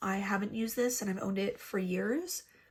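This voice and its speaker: A woman talks at a moderate pace, her pitch varying in an ordinary way. Noticeable background noise is present too. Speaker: beauty youtuber. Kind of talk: makeup tutorial chat. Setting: home filming, raining outside. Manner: casual, chatty.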